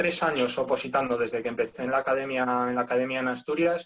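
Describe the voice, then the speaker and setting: In a plain, everyday voice, a man talks fairly quickly with ordinary pitch variation. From Spain, León. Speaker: firefighter exam candidate. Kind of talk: casual interview.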